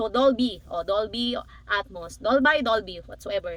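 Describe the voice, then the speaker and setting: A woman speaks in a raised, projected voice with an animated tone and lively intonation. Noticeable background noise is present. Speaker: tech unboxing vlogger. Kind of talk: casual unboxing vlog. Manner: animated, excitable; halting, self-interrupting.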